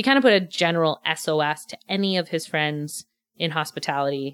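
A woman with a Montreal accent speaks at a very deep, low pitch. The sound is dry and close with no echo, in a very clean recording with a silent background. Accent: English-speaking Montreal Canadian. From Montreal, West Island (Quebec). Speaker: restaurant manager turned real estate agent. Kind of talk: casual interview.

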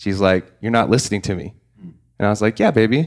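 Here a man speaks with an American accent. His is a plain, everyday voice, fairly low in pitch. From Oklahoma. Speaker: CBD entrepreneur, former real estate agent. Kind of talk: casual roundtable chat.

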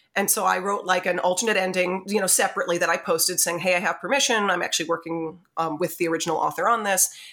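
In a very clean recording with a silent background, a woman of medium pitch speaks at a very fast pace in a bright, sharp tone. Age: 30s. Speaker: fanfiction author and audiobook narrator. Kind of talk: casual interview. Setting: home podcast setup.

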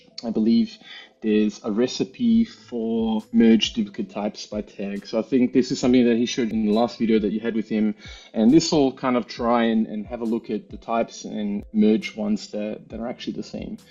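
His intonation is fairly even. The man's pitch sits in the medium range. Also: fairly quick pace. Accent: Australian. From Australia, Melbourne. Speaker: engineer and software user. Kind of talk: technical tutorial demo.

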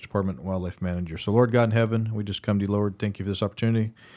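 With fairly even intonation and a fairly low pitch, a man talks at a very fast pace. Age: 40s. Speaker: podcast host. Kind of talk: casual interview.

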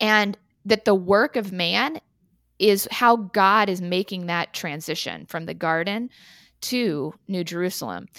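A woman with an American accent and a plain, everyday voice speaks at a medium pitch and a fairly slow pace, with ordinary pitch variation. The recording is very clean with a silent background and a dry, close sound with no echo. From Texas, Austin. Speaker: realtor. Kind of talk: interview.

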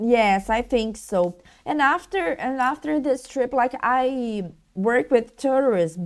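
A woman with a Brazilian Portuguese accent speaks at a very slow pace, high in pitch with lively intonation. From Brazil, Rio de Janeiro. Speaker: blogger. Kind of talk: interview. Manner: halting.

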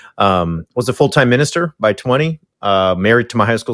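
A man with an American accent talks at a fairly quick pace, recorded very cleanly against a silent background with a dry, close sound and no echo. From Southern California, Orange County. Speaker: author and former minister. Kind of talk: interview.

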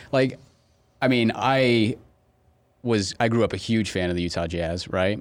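The speaker talks at a fairly slow pace with ordinary pitch variation. Long, frequent pauses break up the speech. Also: man, fairly low pitch for a man. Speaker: podcast host. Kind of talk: casual interview.

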